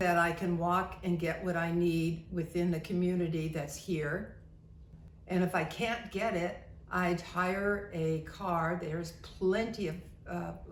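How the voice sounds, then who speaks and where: A woman speaks at a fairly slow pace with a fairly low pitch. Her intonation is monotone and flat, over noticeable background noise. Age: 80s+. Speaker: retiree. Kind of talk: casual talk to camera.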